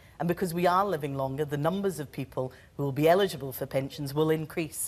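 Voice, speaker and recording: Someone with a Scottish accent talks at a fairly quick pace with ordinary pitch variation. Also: woman. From Scotland. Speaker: politician. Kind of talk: televised debate. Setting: TV studio with audience. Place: studio. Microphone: lapel.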